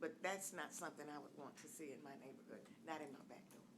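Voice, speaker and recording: In a room with audible echo, a woman with a very deep, low pitch talks at a fairly quick pace with lively intonation. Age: 70s. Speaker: resident giving public comment. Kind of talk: public comment at city meeting. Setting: city commission meeting.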